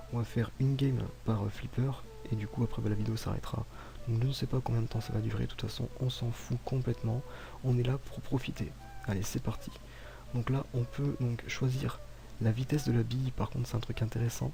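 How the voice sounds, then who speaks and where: Soft-spoken, a man talks at a fairly quick pace. He leaves long, frequent pauses. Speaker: gaming YouTuber. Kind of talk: gameplay commentary. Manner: calm.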